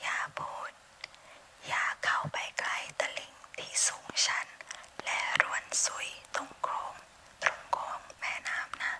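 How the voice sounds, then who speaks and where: A woman whispers over noticeable background noise. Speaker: ASMR creator. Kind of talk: bedtime story reading.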